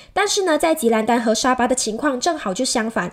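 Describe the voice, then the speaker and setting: Lively intonation fills a woman's high-pitched voice as she speaks. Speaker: podcast host. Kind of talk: interview.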